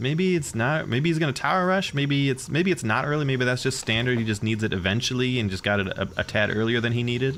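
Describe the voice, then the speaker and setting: Very fast delivery with lively intonation and very even loudness. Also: man, medium pitch for a man, hardly any pauses. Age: 40s. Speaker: gaming streamer. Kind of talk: live commentary. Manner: casual, conversational.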